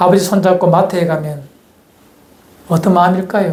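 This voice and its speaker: A man's high voice in a strong Gyeongsang accent, monotone and flat, with audible room echo and noticeable background noise. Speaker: pastor. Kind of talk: sermon.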